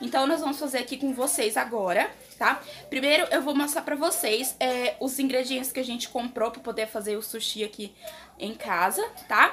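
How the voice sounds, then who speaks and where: Over light background noise, a woman uses a raised, projected voice at a moderate pace with lively intonation. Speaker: home vlogger. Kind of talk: casual vlog chat. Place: kitchen. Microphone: phone near.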